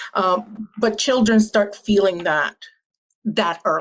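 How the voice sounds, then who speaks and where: The speaker has a Puerto Rican accent and ordinary pitch variation. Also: woman. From Puerto Rico. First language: Spanish. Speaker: panelist, lawyer. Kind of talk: panel discussion.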